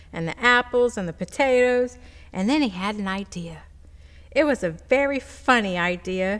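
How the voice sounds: The clip features a natural reading voice.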